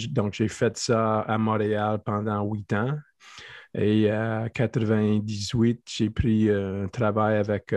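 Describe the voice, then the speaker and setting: A man's fairly low-pitched, monotone, flat delivery at a very slow pace, in a dry, close sound with no echo and a quiet background. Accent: English. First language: English (speaking French). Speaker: athletic therapist and strength coach. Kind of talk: interview. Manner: halting.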